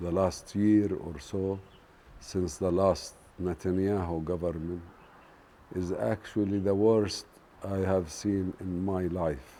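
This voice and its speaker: Very slow and very deep, a man with a Palestinian accent speaks in a dark, mellow tone with fairly even intonation and long, frequent pauses. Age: 60s. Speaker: farmer. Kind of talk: documentary interview.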